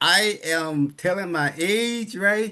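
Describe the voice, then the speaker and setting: There is ordinary pitch variation from a man with an American accent against a quiet background. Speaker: motivational speaker. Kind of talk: motivational speech.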